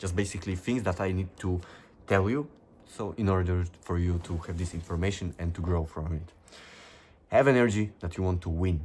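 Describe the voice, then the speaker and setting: Speaking at a fairly quick pace with a non-native accent, a man with a very deep, low voice sounds somewhat breathy, his pitch varying in an ordinary way on a very clean recording with a silent background. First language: not English. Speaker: self-improvement youtuber. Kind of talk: motivational monologue reading from notes. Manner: animated.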